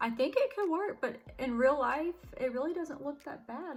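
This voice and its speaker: Against noticeable background noise, a woman speaks at a moderate pace with very wide pitch swings. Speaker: beauty vlogger. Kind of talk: makeup tutorial. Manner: casual, chatty.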